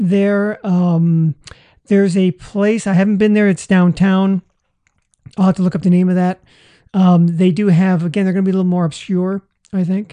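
The tone is dark and mellow, delivered at a moderate pace. Intonation stays monotone and flat, broken by long, frequent pauses. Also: woman, medium pitch for a woman. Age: 60s. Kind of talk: casual chat.

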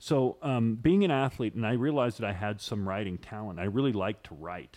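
A normal speaking voice from a man, fairly low in pitch, with lively intonation at a fairly quick pace. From Idaho and northern California (Chico). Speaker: entertainment columnist. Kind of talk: casual interview.

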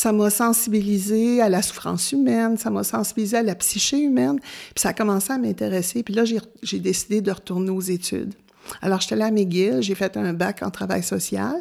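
Recorded very cleanly with a silent background, a woman with a dark, mellow tone and medium pitch speaks at a moderate pace with lively intonation. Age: 70s. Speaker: retired volunteer. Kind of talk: interview. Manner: halting.

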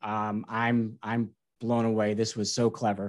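A man at a medium pitch and a fairly slow pace, an unremarkable speaking voice. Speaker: podcast co-host. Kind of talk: casual interview.

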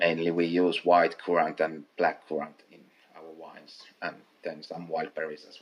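The voice has big swings in loudness while its intonation stays monotone and flat. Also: man, very deep, low pitch for a man, moderate pace. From Finland, North Karelia. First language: Finnish. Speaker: master distiller. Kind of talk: interview. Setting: at the distillery.

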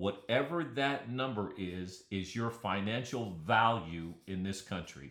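A man with an American accent and fairly low pitch talks in a plain, everyday voice with hardly any pauses. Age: 60s. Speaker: podcast host. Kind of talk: solo podcast monologue.

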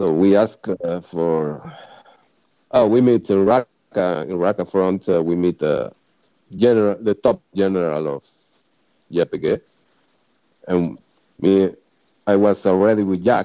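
A man's very deep, low voice with a dark, mellow tone and a strong non-native accent, at a fairly slow pace with long, frequent pauses, in a dry, close sound with no echo. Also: ordinary pitch variation. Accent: strong foreign. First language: Spanish. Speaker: former volunteer sniper in Syria. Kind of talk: casual chat. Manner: halting.

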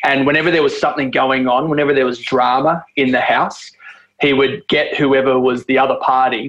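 Speaking at a moderate pace, a man with an Australian accent has a medium pitch. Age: 40s. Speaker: podcast host. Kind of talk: scripted intro; casual interview chat.

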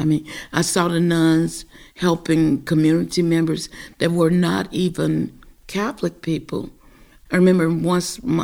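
A woman with a Southern US accent speaks at a moderate pace in a fairly low voice with vocal fry. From US South, Greenville, Mississippi. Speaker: parishioner. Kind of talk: casual conversation.

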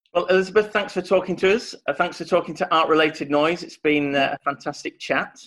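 A man's high voice in a Yorkshire accent, very fast with hardly any pauses and fairly even intonation. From northern England, Yorkshire. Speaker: podcast host. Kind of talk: interview.

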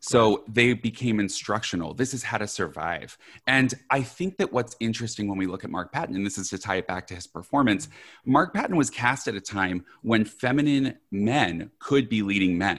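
At a moderate pace, a man with a medium pitch and lively intonation uses an ordinary speaking voice. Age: 30s. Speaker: horror filmmaker. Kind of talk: casual chat.

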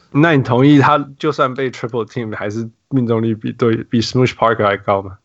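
In an unremarkable speaking voice, the words come at a moderate pace with hardly any pauses and ordinary pitch variation. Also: man, medium pitch for a man. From Canada. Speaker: basketball podcast host. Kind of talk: casual chat.

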